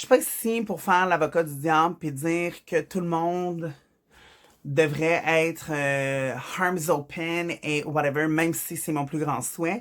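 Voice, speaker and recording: Speaking at a very slow pace, a woman has a fairly low pitch and a Quebec accent. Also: ordinary pitch variation. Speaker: vlogger. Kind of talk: personal vlog monologue. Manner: halting, with fillers.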